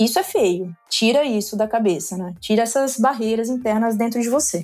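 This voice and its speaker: A woman with an ordinary speaking voice, a fairly high pitch, ordinary pitch variation and a moderate pace. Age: 30s. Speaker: finance executive. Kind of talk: podcast interview.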